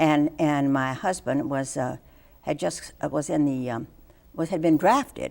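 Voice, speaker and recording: On a very clean recording with a silent background, a woman with an American accent speaks fairly slowly in a very deep, low pitch with ordinary pitch variation. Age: 80s+. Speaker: anti-war activist. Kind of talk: interview answer.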